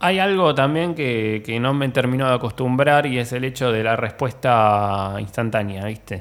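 A man in a Rioplatense accent talks at a fairly slow pace with hardly any pauses and ordinary pitch variation. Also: medium pitch for a man. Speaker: musician and computer technician. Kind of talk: casual chat. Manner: halting, repeats words.

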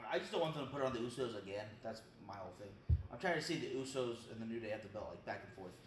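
Over noticeable background noise, a man talks very fast in a medium-pitched voice with ordinary pitch variation. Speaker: co-host. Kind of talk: casual chat.

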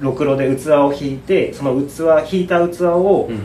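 A man with a fairly high voice speaks with lively intonation over noticeable background noise and audible room echo. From Saitama, Japan. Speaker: potter. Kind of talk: casual interview chat.

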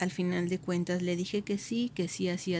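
Here a woman speaks at a moderate pace in a fairly low voice. Her tone is dark and mellow and somewhat breathy. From Mexico, Michoacán (Uruapan). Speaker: contemplative nun. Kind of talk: vocation testimony.

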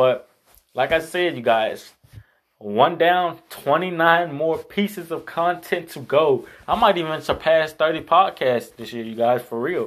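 A man's fairly high-pitched voice, fairly slow, with ordinary pitch variation. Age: 20s. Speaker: youtuber. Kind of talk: vlog monologue. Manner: casual, filler-heavy.

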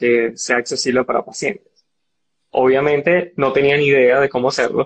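A man speaks with a plain, everyday voice. His pitch is fairly high and his intonation fairly even. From Venezuela, Barinas (llanos). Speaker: biomedical engineer and entrepreneur. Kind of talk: casual interview.

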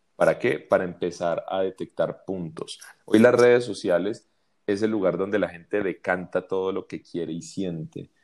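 With a fairly low pitch and ordinary pitch variation, a man speaks at a moderate pace. The recording is very clean, with a silent background. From Colombia. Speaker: advertising agency creative director. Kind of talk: interview conversation. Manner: hesitant, many fillers and repetitions.

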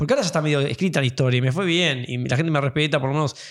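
Fairly high-pitched with ordinary pitch variation, a man sounds animated on a very clean recording with a silent background. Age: 40s. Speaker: pianist and piano teacher. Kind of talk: casual interview conversation.

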